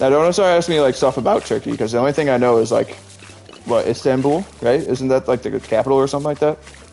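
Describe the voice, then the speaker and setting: Amid noticeable background noise, a man with a fairly high pitch talks at a very fast pace with very even loudness. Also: ordinary pitch variation. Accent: American. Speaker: video game streamer. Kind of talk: casual chat. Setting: live stream.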